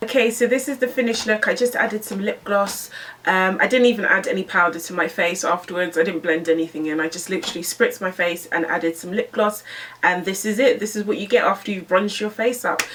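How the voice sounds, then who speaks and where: Over noticeable background noise, a woman with a British accent talks very fast in an animated tone with ordinary pitch variation. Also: medium pitch for a woman. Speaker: beauty YouTuber. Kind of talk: makeup tutorial and review.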